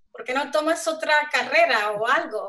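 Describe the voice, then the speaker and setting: Her raised, projected voice has a bright, sharp tone. The woman keeps a moderate pace. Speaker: software developer; panelist. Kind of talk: panel discussion. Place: home room. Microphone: video call.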